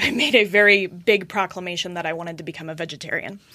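Over noticeable background noise, a woman with an American accent speaks at a fairly quick pace and medium pitch, with ordinary pitch variation. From US West (Colorado). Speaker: butcher shop owner and regenerative agriculture advocate. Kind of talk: casual interview.

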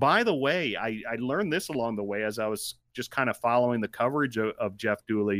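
In a very clean recording with a silent background and a dry, close sound with no echo, a man with an ordinary speaking voice talks at medium pitch and a fairly quick pace, with ordinary pitch variation and hardly any pauses. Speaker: sports podcast co-host.

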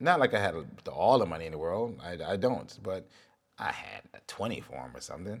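Speaking at a moderate pace and a fairly low pitch, a man shows vocal fry, very wide pitch swings and big swings in loudness. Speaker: solo podcaster recounting spiritual experiences. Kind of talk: personal storytelling monologue. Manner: halting, long pauses.

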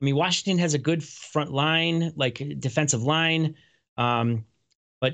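An ordinary speaking voice, a man's is pitched fairly high and shows ordinary pitch variation. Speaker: sports betting podcast host. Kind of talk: casual chat. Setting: video show. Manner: casual, chatty.

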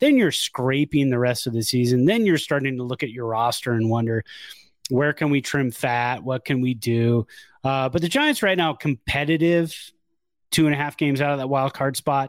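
A man with a plain, everyday voice speaks at a moderate pace and medium pitch with ordinary pitch variation, recorded very cleanly in a dry, close sound with no echo and a silent background. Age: 40s. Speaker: baseball podcast co-host. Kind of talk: casual chat.

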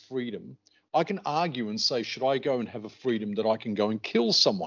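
A man speaks with an Australian accent. His pitch sits in the medium range, and his intonation is lively. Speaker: podcast co-host. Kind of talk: casual chat.

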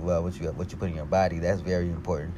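The room adds audible echo. The voice belongs to a man. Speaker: podcast host. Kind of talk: casual monologue. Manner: fast; animated.

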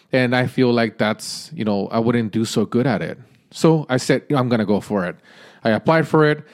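At a fairly quick pace, a man with an unremarkable speaking voice talks in a medium pitch. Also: very clean recording, silent background. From Mexican-American. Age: 40s. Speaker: podcast host. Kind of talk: solo monologue. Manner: casual, filler-heavy.

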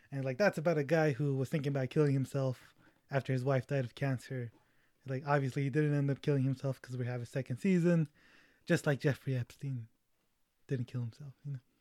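The voice has a dark, mellow tone, fairly even intonation and a very fast pace. The sound is dry and close with no echo, on a very clean recording with a silent background. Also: man, fairly high pitch for a man. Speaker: film podcast host. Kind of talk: casual chat.

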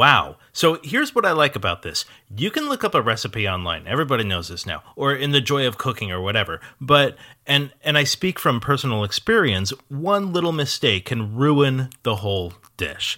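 The voice has a bright, sharp tone with vocal fry and very wide pitch swings. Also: man, fairly high pitch for a man, moderate pace, very clean recording, silent background. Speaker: podcast host. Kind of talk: interview, scripted intro.

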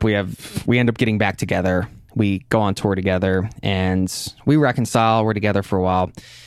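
It is a plain, everyday voice moving at a moderate pace. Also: man. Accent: American. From US Northeast. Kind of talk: interview conversation. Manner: casual, filler-heavy.

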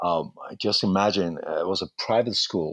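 A man with a Persian accent speaks at a fairly slow pace. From Iran. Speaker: actor. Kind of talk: life story interview. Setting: remote call with aircraft noise nearby.

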